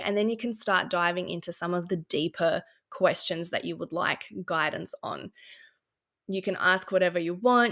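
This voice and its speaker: Fairly even intonation at a moderate pace, in a very clean recording with a silent background. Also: woman. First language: not English. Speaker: spiritual podcaster. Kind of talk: casual explanatory talk. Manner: hesitant, many fillers.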